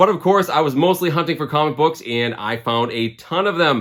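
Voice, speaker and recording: A man's intonation is lively, and the recording is very clean with a silent background. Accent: Boston. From Boston area, Massachusetts. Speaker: comic book collector vlogger. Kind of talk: casual vlog narration. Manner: casual, conversational.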